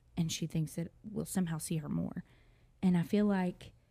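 A woman speaks at a moderate pace in a fairly low pitch with fairly even intonation. Her tone is dark and mellow, and somewhat breathy. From Texas. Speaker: podcast co-host. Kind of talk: casual chat.

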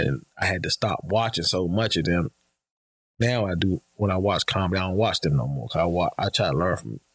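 A man with an American accent speaks at a very deep, low pitch with vocal fry and lively intonation. His pace is fairly quick, and the sound is dry and close with no echo. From Washington DC. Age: 40s. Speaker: stand-up comedian. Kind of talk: casual chat. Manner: laid-back.

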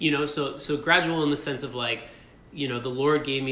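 An American accent with fairly even intonation, audible room echo and noticeable background noise. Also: man. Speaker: husband sharing faith testimony. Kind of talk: casual interview testimony. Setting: rented studio space in Brooklyn.

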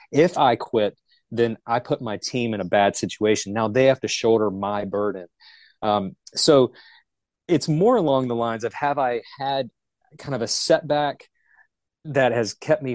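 Using a plain, everyday voice, a man of medium pitch speaks at a moderate pace with ordinary pitch variation, the sound dry and close with no echo against a quiet background. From Charlotte, North Carolina. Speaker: utility company manager. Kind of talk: casual interview.

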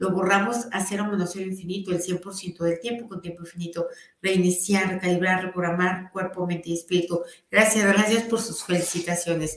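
A woman talks fairly quickly at medium pitch. Her intonation is monotone and flat. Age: 40s. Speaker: energy healing teacher. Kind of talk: guided healing session; live stream talk. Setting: live stream.

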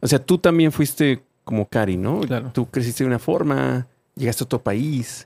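A man's normal speaking voice, medium in pitch, with lively intonation and a fairly slow pace, in a very clean recording with a silent background and a dry, close sound with no echo. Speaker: podcast host. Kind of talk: casual chat.

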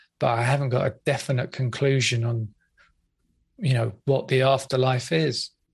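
A somewhat breathy, medium-pitched man with an English accent, moderate pace, fairly even intonation and very even loudness, against a quiet background. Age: 50s. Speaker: hypnotherapist and podcast host. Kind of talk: interview.

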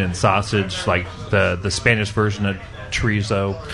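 Over noticeable background noise, a man speaks in a monotone, flat way at a fairly low pitch.

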